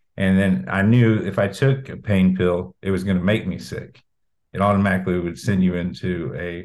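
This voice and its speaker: A man with an American accent and a very deep, low pitch speaks at a moderate pace with ordinary pitch variation, in audible room echo. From Indiana, Brown County. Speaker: singer-songwriter. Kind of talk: interview.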